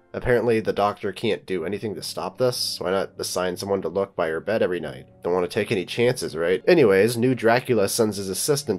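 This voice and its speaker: The speech goes at a very fast pace with ordinary pitch variation. Music plays in the background. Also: man. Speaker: film reviewer. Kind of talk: scripted narration.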